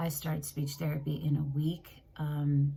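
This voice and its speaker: Over noticeable background noise and audible room echo, a woman speaks fairly slowly in a very deep, low pitch. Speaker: tarot reader. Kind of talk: tarot reading monologue. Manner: casual, scattered.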